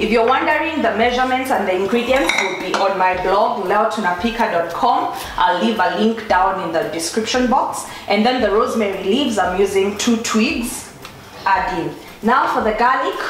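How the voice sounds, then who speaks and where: There is audible room echo and light background noise as a woman speaks at a moderate pace with ordinary pitch variation. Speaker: food blogger. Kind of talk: cooking tutorial. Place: kitchen.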